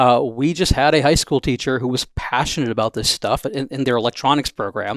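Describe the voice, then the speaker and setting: A man with an American accent and a normal speaking voice talks at a fairly quick pace, his medium pitch showing ordinary variation, in a very clean recording with a silent background and a dry, close sound with no echo. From Wisconsin. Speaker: robotics entrepreneur. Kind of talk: interview.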